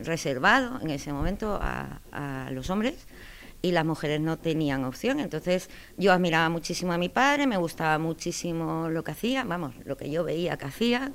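A woman with a fairly low pitch talks at a fairly slow pace, using lively intonation. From Spain, moved around (Andalusian family, grew up partly in Galicia, Cartagena, Madrid). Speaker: military judge, army colonel. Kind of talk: interview. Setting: office at a military court. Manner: hesitant, many fillers.

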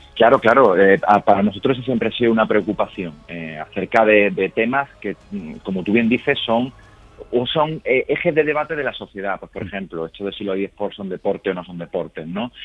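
Music in the background behind a man with a fairly low pitch, lively intonation and a moderate pace. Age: 30s. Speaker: university professor. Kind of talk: interview.

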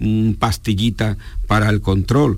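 This man has an unremarkable speaking voice, pitched fairly low, with fairly even intonation and a moderate pace. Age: 60s. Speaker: geriatrician. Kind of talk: radio interview. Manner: formal.

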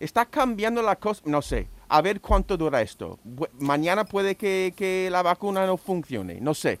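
High-pitched male speech at a fairly slow pace, with ordinary pitch variation and a dry, close sound free of echo. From United States. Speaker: radio panelist. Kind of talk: casual chat.

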